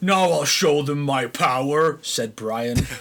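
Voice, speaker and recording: A man's put-on character voice, fairly high in pitch and fairly slow. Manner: dramatic, boastful.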